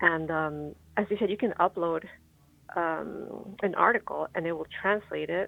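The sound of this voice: At a moderate pace, a woman with a fairly low pitch speaks with vocal fry and ordinary pitch variation.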